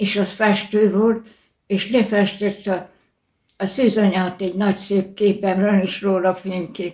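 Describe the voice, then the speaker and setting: Very slow, somewhat breathy female voice at medium pitch, dark and mellow in tone, with monotone, flat intonation. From Hungary, Bács-Kiskun county. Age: 80s+. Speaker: church cantor. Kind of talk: interview.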